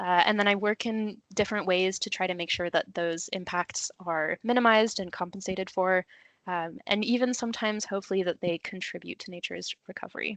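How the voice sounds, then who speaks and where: A woman with an American accent and an unremarkable speaking voice talks fairly quickly at medium pitch, in a dry, close sound with no echo and a quiet background. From USA. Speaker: conservation planning officer, webinar speaker. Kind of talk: webinar presentation. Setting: online webinar.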